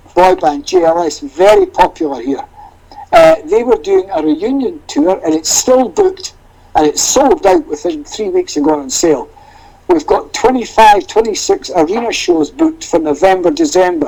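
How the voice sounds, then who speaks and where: Over noticeable background noise, a man with an extremely high voice speaks at a moderate pace, his pitch swinging very widely. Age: 60s. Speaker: tour manager. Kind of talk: casual chat.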